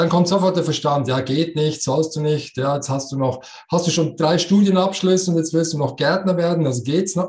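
A man with a Swiss German accent talks at a moderate pace in a fairly high pitch. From Switzerland. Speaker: coach and speaker. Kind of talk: interview.

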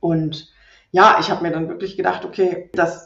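With a flat, monotone intonation, a woman talks in a fairly low pitch. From Rhineland, Germany. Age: 30s. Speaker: property investor and landlord. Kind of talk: podcast interview.

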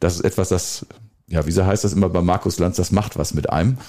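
A man speaks with a very deep, low pitch and a dark, mellow tone. His pace is fairly quick, and the recording is very clean with a silent background. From Westphalia, Germany (Soest district village). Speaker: mayor hosting local podcast. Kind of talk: casual chat. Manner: hesitant, many fillers.

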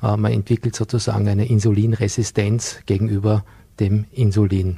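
A man speaks in a fairly low, somewhat breathy voice with a dark, mellow tone and monotone, flat intonation. The sound is dry and close with no echo, on a very clean recording with a silent background. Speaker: business consultant and nutrition coach. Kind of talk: TV studio interview. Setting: TV studio.

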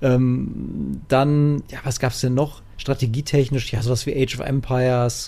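A man speaks at a fairly slow pace with hardly any pauses. His medium-pitched voice has a dark, mellow tone and monotone, flat intonation. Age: 30s. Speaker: gaming podcast co-host. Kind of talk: casual chat.

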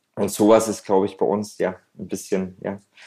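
This man talks at a moderate pace. His pitch sits fairly low. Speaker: restaurant entrepreneur and gastronomy consultant. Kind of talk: interview conversation. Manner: frequent fillers and hesitations.

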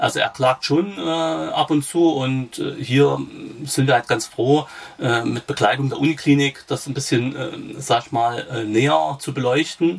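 A man speaks at a medium pitch with lively intonation over noticeable background noise. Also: fairly slow pace. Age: 40s. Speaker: patient with rare disease, peer supporter. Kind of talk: interview. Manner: halting, many fillers.

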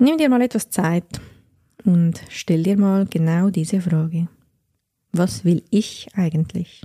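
A woman with a dark, mellow, somewhat breathy tone and a fairly low pitch speaks very slowly, with long, frequent pauses, very even loudness and ordinary pitch variation, in a dry, close sound with no echo. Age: 30s. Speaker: podcast host and life coach. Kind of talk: personal monologue.

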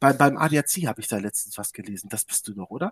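Vocal fry at a fairly quick pace, with very wide pitch swings and a dry, close sound with no echo. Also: man. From Hannover region, northern Germany. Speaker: sim racing team founder. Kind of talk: casual interview. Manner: animated.

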